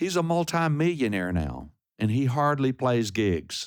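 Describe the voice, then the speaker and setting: A man talks very slowly, captured on a very clean recording against a silent background. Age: 70s. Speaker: singer-songwriter. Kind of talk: interview. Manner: halting.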